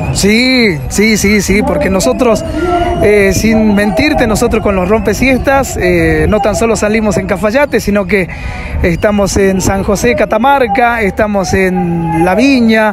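A man at a fairly slow pace, dry sound with no echo, clear music in the background. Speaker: radio announcer. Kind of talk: interview answer. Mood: cheerful, smiling. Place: street. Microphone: handheld.

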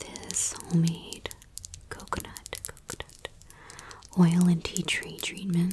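The pace is very slow. A woman whispers throughout. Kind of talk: soft-spoken role play. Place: home room.

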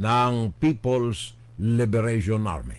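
A man's voice at a very slow pace. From Philippines. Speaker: web radio news commentator; political commentator. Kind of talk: political commentary monologue. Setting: live stream. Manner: animated. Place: home room. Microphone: studio mic.

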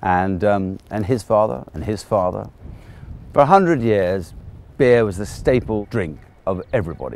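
The recording has a dry sound with no echo. A man speaks at a moderate pace with very deep, low pitch and vocal fry. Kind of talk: interview answer. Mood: warm, enthusiastic. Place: waterside.

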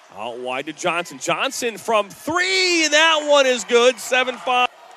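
A man's raised, projected voice, dry with no echo, over light background noise. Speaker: basketball play-by-play announcer. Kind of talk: live sports commentary, highlight-reel play-by-play. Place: stadium. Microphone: headset.

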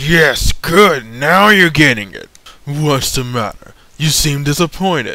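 A man speaks in a put-on character voice. His pitch sits fairly high, and he talks at a fairly slow pace. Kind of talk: fan voice acting practice, game scene. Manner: superior, calm, amused.

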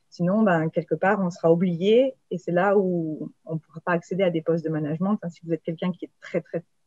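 A woman with a plain, everyday voice talks fairly quickly at a fairly low pitch, her intonation fairly even. The sound is dry with no echo against a quiet background. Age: 30s. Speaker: engineer, IT architect; panelist. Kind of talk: panel talk. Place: office. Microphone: earbuds.

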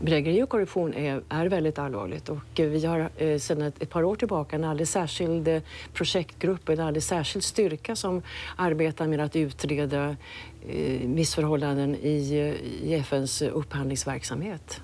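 A woman's very deep, low voice with a dark, mellow tone, delivered at a moderate pace. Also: ordinary pitch variation. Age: 60s. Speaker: UN audit chief. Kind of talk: interview. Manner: halting, repeats words. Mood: calm, measured. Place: office.

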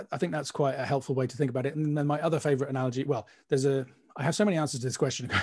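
Against a quiet background, a voice with a British accent has a dark, mellow tone and fairly even intonation. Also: man. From UK. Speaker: mastering engineer. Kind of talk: panel discussion. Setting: video call. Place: studio. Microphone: video call.

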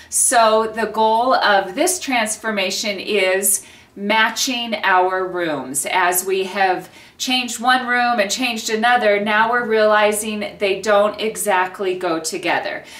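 A woman talks at a very slow pace with ordinary pitch variation. There is audible room echo. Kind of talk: home renovation vlog intro. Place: home room.

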